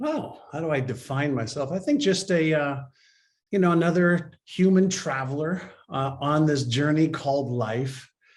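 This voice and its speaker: A man talks at a moderate pace, with a fairly high pitch and a somewhat breathy voice. His pitch varies in an ordinary way, and audible room echo surrounds him. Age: 60s. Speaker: mindset and behavior expert. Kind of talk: interview.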